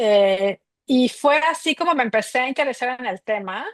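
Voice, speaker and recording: A woman's voice, dry and close with no echo, over a quiet background. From Mexico City. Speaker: migration researcher. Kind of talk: interview.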